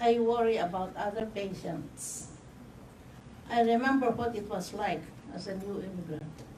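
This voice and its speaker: A woman at a medium pitch speaks at a moderate pace with ordinary pitch variation, long, frequent pauses and big swings in loudness, amid noticeable background noise and audible room echo. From Philippines. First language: not English. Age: 70s. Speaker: community health patient. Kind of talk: testimony. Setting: news conference.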